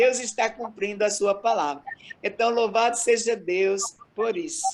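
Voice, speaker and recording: A woman's fairly high voice at a fairly slow pace, with lively intonation, very even loudness and noticeable background noise. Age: 60s. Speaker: missionary. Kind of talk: interview testimony.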